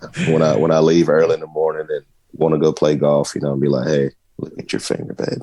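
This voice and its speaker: In a Southern US accent, a man with a very deep, low voice speaks fairly quickly and in a monotone, flat way. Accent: Southern country. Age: 30s. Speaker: sports podcast co-host. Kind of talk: casual chat.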